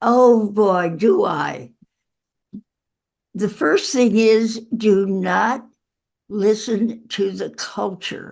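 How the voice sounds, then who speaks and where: With long, frequent pauses, a woman speaks at a very slow pace and a fairly high pitch, using ordinary pitch variation. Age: 80s+. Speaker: author. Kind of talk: interview.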